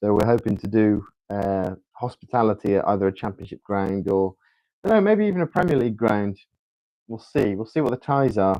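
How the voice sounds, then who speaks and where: A man's fairly low voice with a dark, mellow tone, a fairly quick pace, ordinary pitch variation, and a dry, close sound with no echo. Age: 30s. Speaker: football livestreamer.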